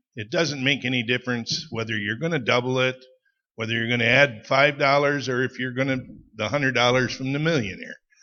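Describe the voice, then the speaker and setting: With a Wisconsin accent, a man talks at a fairly quick pace, his medium pitch carried on a fairly even intonation. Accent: Upper Midwest (Wisconsin). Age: 60s. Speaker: ATV club member. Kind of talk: audience comment at a public meeting.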